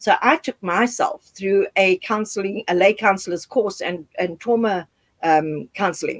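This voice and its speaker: Dry and close with no echo, a woman talks at a moderate pace in a plain, everyday voice. Her pitch is medium, with ordinary pitch variation. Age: 60s. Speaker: HIV activist and speaker. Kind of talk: interview.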